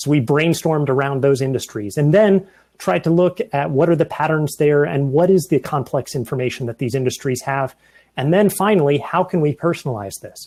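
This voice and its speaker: Fairly quick and fairly high-pitched, a man talks with ordinary pitch variation and a dark, mellow tone. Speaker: software engineer. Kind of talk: conference presentation. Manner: fast.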